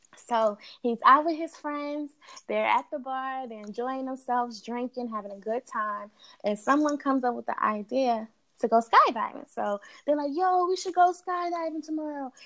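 Here a woman with an American accent speaks in a high pitch. Her pace is moderate, with ordinary pitch variation. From New York (Queens) and Delaware. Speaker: research analyst. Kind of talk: casual chat.

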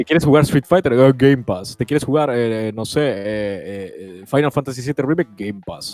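At a moderate pace with hardly any pauses, the speech shows ordinary pitch variation in a dry, close sound with no echo. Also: man, medium pitch for a man. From Italy. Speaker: YouTuber. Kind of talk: casual chat.

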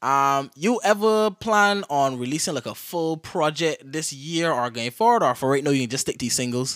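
A man with an ordinary speaking voice talks at a moderate pace and a fairly high pitch, with lively intonation, hardly any pauses, and a very clean recording with a silent background. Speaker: podcast host. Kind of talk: casual interview.

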